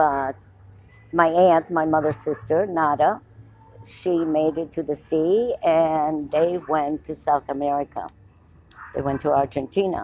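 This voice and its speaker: Her pitch is very deep and low, and her intonation is fairly even. The woman speaks at a fairly slow pace with long, frequent pauses. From Hungary (born Belgrade, Yugoslavia). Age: 70s. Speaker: Holocaust-era immigrant telling life story. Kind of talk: oral history testimony. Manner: halting, with fillers.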